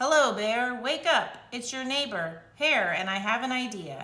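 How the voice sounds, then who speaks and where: A woman does a put-on character voice at a high pitch. She keeps a moderate pace, and there is audible echo. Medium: read story. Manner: smooth, persuasive.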